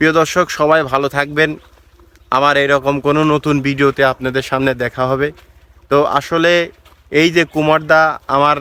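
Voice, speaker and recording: This man's fairly high voice stays monotone and flat, with very even loudness and a dry, close sound with no echo. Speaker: travel vlogger. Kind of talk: vlog narration to camera. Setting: outdoors by a pond.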